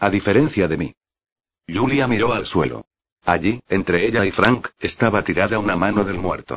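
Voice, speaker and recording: In a plain, everyday voice, a man talks at a moderate pace with a fairly low pitch and ordinary pitch variation. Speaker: audiobook narrator. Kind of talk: dramatic audiobook narration. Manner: suspenseful, gravely theatrical, shifting into tense dialogue voices.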